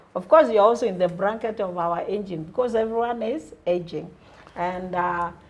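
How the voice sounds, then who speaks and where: Medium pitch from a woman, with ordinary pitch variation and a moderate pace, against noticeable background noise. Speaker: talk show host. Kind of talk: interview.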